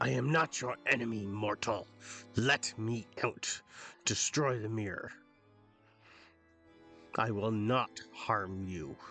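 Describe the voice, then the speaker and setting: With faint music behind him, a man uses a put-on character voice at a medium pitch, speaking fairly slowly with long, frequent pauses. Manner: pleading.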